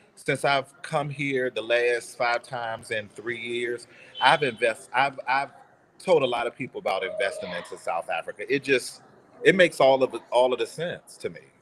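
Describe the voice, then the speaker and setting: A man talks with an American accent and big swings in loudness. Noticeable background noise is present. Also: moderate pace. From United States. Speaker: real estate investor. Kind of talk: casual chat. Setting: video call from a cafe. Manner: halting.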